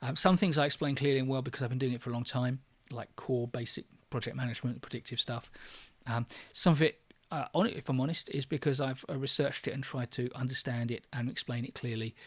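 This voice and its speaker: Somewhat breathy and at medium pitch, a man talks at a very fast pace with fairly even intonation. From London, England. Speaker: online course creator, trainer. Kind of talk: livestream Q&A. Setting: livestream. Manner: natural pace, faster than his videos; hesitant, many fillers.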